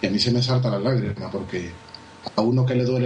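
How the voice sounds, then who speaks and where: A man's medium-pitched voice, fairly even intonation, and a fairly quick pace amid noticeable background noise. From Spain, Seville. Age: 30s. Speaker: wedding photographer. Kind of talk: interview. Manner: fast.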